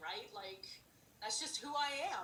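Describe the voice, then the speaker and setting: A woman with a bright, sharp tone speaks at a moderate pace with lively intonation. Echo from the room can be heard. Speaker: ministry leader. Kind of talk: casual devotional chat. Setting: video call.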